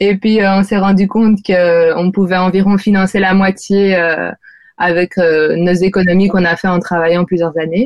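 A woman speaks at a medium pitch in a flat monotone. Her loudness stays very even, and her pace is fairly slow. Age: 20s. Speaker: architect and sailor. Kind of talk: interview. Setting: remote interview from the Canary Islands.

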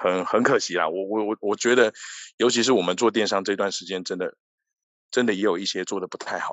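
A man with a Taiwanese accent, talking at a fairly quick pace. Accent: Taiwanese Mandarin. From Taiwan, Tainan. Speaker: e-commerce executive. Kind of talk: interview.

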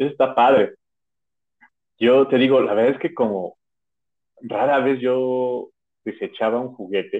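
Speech comes at a fairly slow pace with long, frequent pauses and fairly even intonation. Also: man, medium pitch for a man. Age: 30s. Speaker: podcast co-host. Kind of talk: casual chat.

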